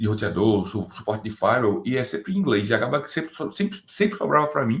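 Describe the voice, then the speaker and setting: A man speaks at a very fast pace with very wide pitch swings and a somewhat breathy tone, on a very clean recording with a silent background. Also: medium pitch for a man. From Brazil. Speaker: DevOps engineer. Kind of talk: interview. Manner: casual, hesitant with repetitions.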